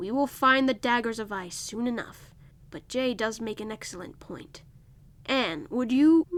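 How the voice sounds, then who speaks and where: At a moderate pace, a woman uses a put-on character voice with a fairly high pitch and ordinary pitch variation. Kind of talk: proverb-like formal speech. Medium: read story. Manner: calm, measured, sage-like.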